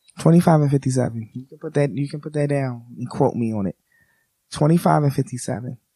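A man with an American accent talks at a fairly slow pace in a fairly high pitch with ordinary pitch variation. His tone is dark and mellow, somewhat breathy, with big swings in loudness. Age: 30s. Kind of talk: casual chat.

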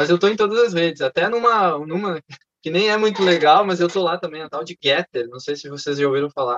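A man speaks at a very fast pace and a high pitch, with big swings in loudness. The sound is dry and close, with no echo. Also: ordinary pitch variation. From southern Brazil (Canela, Rio Grande do Sul). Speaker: chemical engineer. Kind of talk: casual chat.

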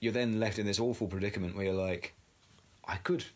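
Ordinary pitch variation with an English accent. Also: man. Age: 30s. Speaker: podcast co-host. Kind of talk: casual chat.

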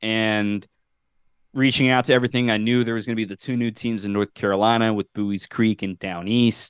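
Recorded dry and close with no echo against a quiet background, a man with an unremarkable speaking voice talks fairly quickly at medium pitch with fairly even intonation. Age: 20s. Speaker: baseball broadcaster. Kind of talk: casual chat. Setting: podcast interview.

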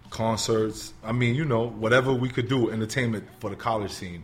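A somewhat breathy man in a New York accent, medium pitch, fairly even intonation and a moderate pace. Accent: New York City. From New York City, the Bronx. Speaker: motivational speaker and substitute teacher. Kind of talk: interview, telling his life story. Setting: studio.

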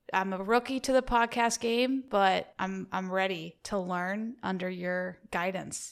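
On a very clean recording with a silent background, a woman speaks at a very slow pace with medium pitch and ordinary pitch variation. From US South. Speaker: co-host applicant. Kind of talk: mock job interview.

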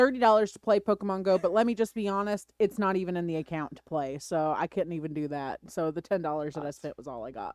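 Very fast speech with hardly any pauses on a very clean recording with a silent background. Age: 30s. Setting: studio.

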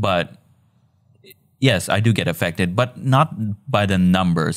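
A man speaks with a slight Filipino accent. The recording is very clean, with a silent background. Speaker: video editor and designer. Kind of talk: casual chat.

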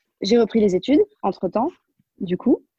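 A woman's dark, mellow voice at a moderate pace, dry and close with no echo. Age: 20s. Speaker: pastry chef. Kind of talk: casual chat. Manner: halting.

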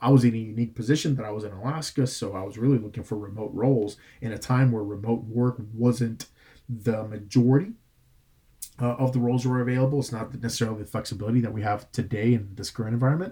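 The voice is dark and mellow, somewhat breathy, with fairly even intonation at a very fast pace. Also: man, medium pitch for a man. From Puerto Rico (Bayamón). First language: Spanish. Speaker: director of admissions, Air Force veteran. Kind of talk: interview.

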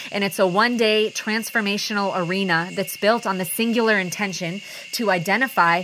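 A woman in a passionate tone with ordinary pitch variation over noticeable background noise. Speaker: podcast host and personal growth facilitator. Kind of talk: solo motivational monologue.

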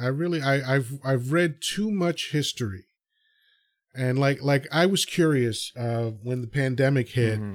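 A man's medium-pitched voice at a fairly slow pace with ordinary pitch variation, in a very clean, silent recording. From New York. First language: Spanish. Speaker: podcast host. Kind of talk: casual interview chat.

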